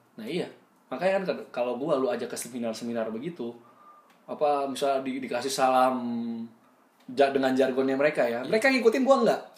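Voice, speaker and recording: A man's fairly high voice, very fast in pace, with lively intonation, long, frequent pauses, big swings in loudness and noticeable background noise. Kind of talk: casual chat.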